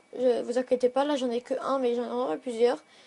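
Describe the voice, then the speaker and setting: Her voice high in pitch, a woman speaks at a moderate pace with a dark, mellow tone. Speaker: gaming youtuber. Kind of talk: product review vlog. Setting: bedroom. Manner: hesitant, filler-heavy.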